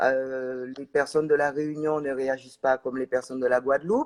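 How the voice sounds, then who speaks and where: The sound is dry and close, with no echo. A woman speaks at a fairly slow pace. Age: 60s. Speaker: organic farmer and NGO vice president. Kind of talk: live interview. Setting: livestream. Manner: halting, many hesitations.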